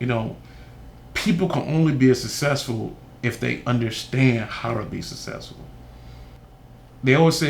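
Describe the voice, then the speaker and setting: With audible room echo, a man talks at a moderate pace and medium pitch, using ordinary pitch variation. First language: Haitian Creole. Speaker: youth mentor and school board candidate. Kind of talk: interview testimony.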